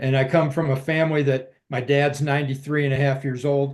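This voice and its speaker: A man's fairly high-pitched voice, monotone and flat, at a fairly quick pace. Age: 60s. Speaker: military veteran promoting stem cell treatment. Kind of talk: casual interview.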